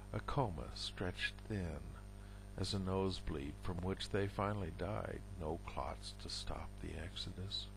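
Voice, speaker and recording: Against noticeable background noise, a man with a very deep, low pitch speaks fairly slowly, his pitch swinging very widely. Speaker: poet. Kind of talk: poetry reading, read aloud in a measured, deliberate spoken-word style. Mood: somber, reflective. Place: home room. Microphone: headset.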